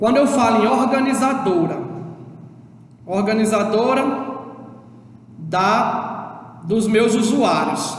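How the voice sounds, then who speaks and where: A northeastern Brazilian accent amid noticeable background noise. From Brazil, Northeast. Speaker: schoolteacher. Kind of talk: lecture. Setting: recorded remote class video. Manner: halting, with repeated fillers.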